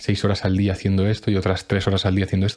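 A dark, mellow tone delivered at a very fast pace. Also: man. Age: 20s. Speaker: personal development podcaster. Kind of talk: motivational monologue. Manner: emphatic.

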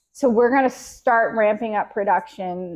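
Using ordinary pitch variation, a woman talks in an American accent. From Jacksonville, Florida, US South. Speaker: photographer. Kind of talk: interview.

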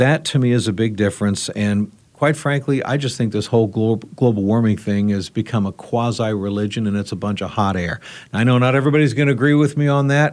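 A man speaks at a fairly quick pace in a plain, everyday voice, medium in pitch with ordinary pitch variation, against a quiet background. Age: 50s. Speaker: radio talk show host. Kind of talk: roundtable discussion.

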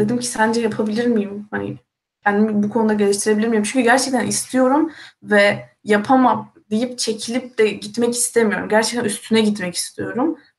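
A woman uses a plain, everyday voice, keeping a moderate pace and ordinary pitch variation. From Turkey. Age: 20s. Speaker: university student. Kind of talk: casual live-stream chat.

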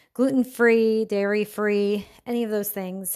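In a very clean recording with a silent background, a plain, everyday voice speaks at a moderate pace. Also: woman. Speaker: podcast host. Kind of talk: casual chat.

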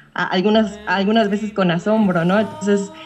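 A woman at a medium pitch talks while noticeable background noise continues. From Mexico. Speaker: caller. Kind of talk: casual chat.

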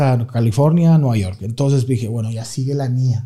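A somewhat breathy man's voice with a dark, mellow tone at a moderate pace. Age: 30s. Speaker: comedian. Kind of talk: casual chat. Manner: animated.

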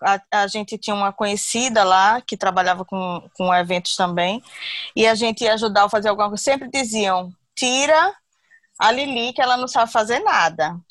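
Recorded very cleanly with a silent background and a dry, close sound with no echo, a woman with a plain, everyday voice speaks at a moderate pace in a fairly high pitch with ordinary pitch variation. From Brazil, Recife (Pernambuco). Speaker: confectionery business owner. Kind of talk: interview testimony.

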